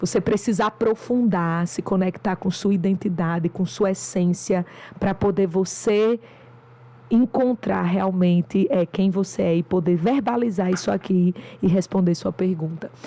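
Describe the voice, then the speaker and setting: A woman with a northeastern Brazilian accent speaks fairly slowly at medium pitch, with ordinary pitch variation and very even loudness, over noticeable background noise. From Brazil, interior of Rio Grande do Norte. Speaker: doctor and business mentor. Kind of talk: podcast interview.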